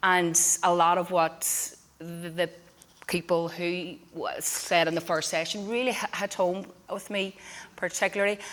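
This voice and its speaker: In a Northern Irish accent, a woman speaks at a fairly slow pace with a medium pitch. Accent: Derry Northern Irish. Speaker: community musician and choir director. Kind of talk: forum talk. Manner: halting.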